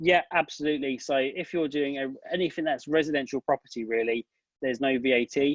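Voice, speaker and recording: Fairly even intonation with a British accent. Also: man. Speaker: tax advisor. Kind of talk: webinar Q&A. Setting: online webinar. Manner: fast.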